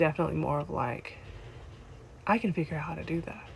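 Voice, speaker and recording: Soft-spoken, a woman talks at a fairly quick pace. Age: 30s. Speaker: vlogger. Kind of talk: casual chat. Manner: animated. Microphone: no microphone.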